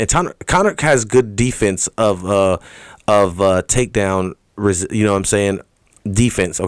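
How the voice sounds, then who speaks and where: Doing a put-on character voice, a man mumbles at a fairly low pitch and moderate pace, his loudness very even and the sound dry and close with no echo. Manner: mumbling.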